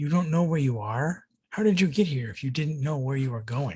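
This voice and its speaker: Putting on a gruff character voice, a man speaks at a fairly quick pace. His pitch is fairly high, and his intonation is lively. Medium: read story.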